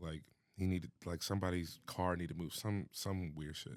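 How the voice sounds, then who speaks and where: A man with an American accent speaks at a moderate pace in a relaxed tone, his very deep, low voice fairly even in intonation, on a very clean recording with a silent background. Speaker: hype man and DJ. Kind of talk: podcast interview. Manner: casual, relaxed in conversation, unlike his loud mic voice.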